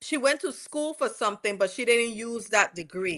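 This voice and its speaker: Over a quiet background, a woman with a West Indian accent speaks in a bright, sharp tone. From West Indies. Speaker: commentator recapping a court trial. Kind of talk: casual commentary.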